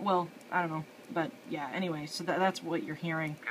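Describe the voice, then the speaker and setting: A woman speaks over light background noise. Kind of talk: casual tutorial commentary. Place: home room. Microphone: phone near.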